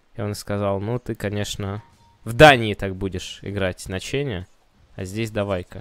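With music in the background, a man speaks at a fairly low pitch with long, frequent pauses. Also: moderate pace. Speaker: esports commentator. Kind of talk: live esports commentary. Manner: excited, brisk play-by-play.

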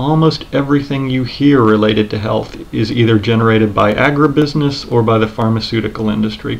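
Speaking at a fairly quick pace with hardly any pauses, a man keeps his intonation fairly even. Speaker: commentary video creator. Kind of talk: commentary narration to camera. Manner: monotone. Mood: earnest, serious. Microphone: webcam.

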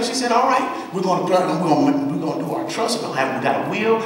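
Speaking at a very fast pace and a high pitch, a man is heard with light background noise and strong room echo. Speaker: preacher delivering a sermon to a congregation. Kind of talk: impassioned sermon preaching. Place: church.

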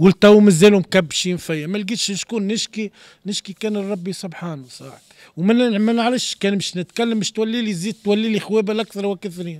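A man with a high voice speaks at a moderate pace, his intonation fairly even but his loudness swinging widely, in a dry recording with no echo and a quiet background. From Tunisia. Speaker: former drug user; interviewee. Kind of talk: street interview. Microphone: handheld.

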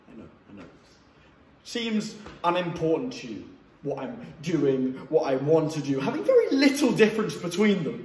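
Speaking at a moderate pace with long, frequent pauses, a man shows big swings in loudness amid audible room echo. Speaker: actor performing a stage monologue. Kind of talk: dramatic monologue performance. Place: home room. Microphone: phone near.

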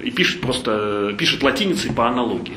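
A man talks with lively intonation. There is light background noise and audible room echo. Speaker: charity foundation head. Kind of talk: lecture. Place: hall. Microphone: camera far.

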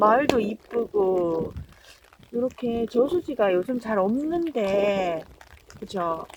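Over noticeable background noise, a woman with a Gyeongsang accent talks at a very slow pace, her fairly high pitch carried by lively intonation. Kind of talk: casual walking vlog chat.

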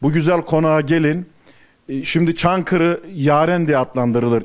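A man talks at a moderate pace in a fairly high pitch. The background is quiet. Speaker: travel show host; TV travel show host. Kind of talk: casual on-location chat. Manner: animated. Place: home room.

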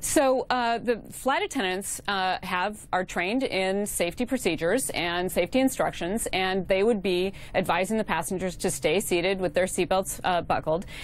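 A woman speaks with hardly any pauses in a dry sound with no echo. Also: ordinary pitch variation, moderate pace. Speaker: remote news guest. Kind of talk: interview answer. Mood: calm, explanatory. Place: studio. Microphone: lapel.

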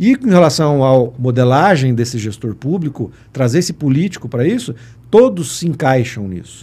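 The voice is dark and mellow, somewhat breathy, with lively intonation at a moderate pace. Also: man. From western Paraná, Brazil. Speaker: municipal communications secretary; guest. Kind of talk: casual chat. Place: studio. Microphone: studio mic.

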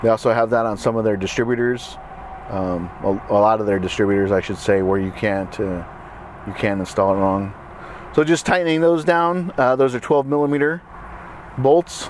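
The recording of this man is dry, with no echo. Light background noise sits behind him. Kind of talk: tutorial. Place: garage. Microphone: phone near.

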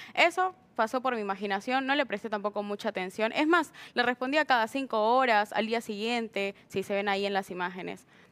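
A woman speaks fairly quickly at a fairly high pitch with ordinary pitch variation. Faint music plays in the background. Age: 20s. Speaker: hospitality worker; talk show guest. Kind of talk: interview. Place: studio. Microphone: lapel.

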